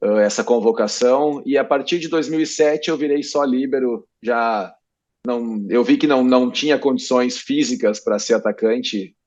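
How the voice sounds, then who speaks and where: An ordinary speaking voice from a man, medium in pitch with ordinary pitch variation, at a fairly slow pace against a quiet background. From southern Brazil, Rio Grande do Sul. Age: 30s. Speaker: professional volleyball player. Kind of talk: interview.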